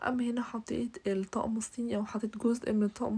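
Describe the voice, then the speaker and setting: Her tone dark and mellow, a woman with a fairly high pitch sounds somewhat breathy and keeps a monotone, flat intonation. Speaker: bridal home decorator, YouTuber. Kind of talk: home tour vlog. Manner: hesitant, with fillers.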